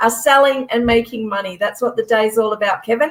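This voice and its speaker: An animated tone from a woman with an Australian accent. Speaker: expo organiser. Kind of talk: casual chat. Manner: fast.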